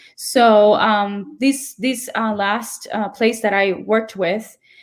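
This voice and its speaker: This woman's voice sits at a fairly high pitch. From Puerto Rico. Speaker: opera singer and music educator. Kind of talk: interview.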